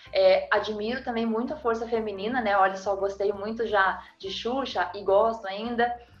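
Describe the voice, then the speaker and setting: Noticeable background noise sits behind a woman with a fairly high pitch and fairly even intonation. She keeps a moderate pace with hardly any pauses. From Brazil, interior (not the state capital). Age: 40s. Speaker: marketing professional. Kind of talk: casual interview chat.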